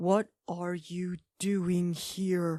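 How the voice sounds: A female-sounding put-on character voice speaks at a middle pitch with monotone, flat intonation.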